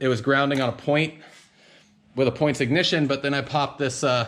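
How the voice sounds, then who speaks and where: This man talks at a very fast pace. His voice sits fairly high. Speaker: jeep hobbyist vlogger. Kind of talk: casual vlog walkaround. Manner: rambling, filler-heavy.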